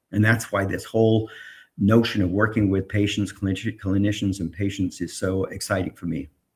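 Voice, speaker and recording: Fairly quick, somewhat breathy speech from a man with a fairly low pitch and fairly even intonation, on a very clean recording with a silent background. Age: 70s. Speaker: tech entrepreneur. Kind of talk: interview.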